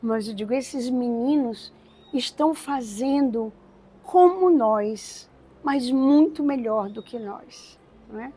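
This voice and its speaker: A woman speaks very slowly at a high pitch with a dark, mellow tone. Her pitch variation is ordinary, and her loudness swings widely. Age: 70s. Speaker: religious community co-founder. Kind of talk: testimony.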